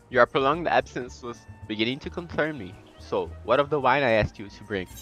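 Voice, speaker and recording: A man's lively intonation stands out against music in the background. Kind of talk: gaming, reading quest dialogue aloud.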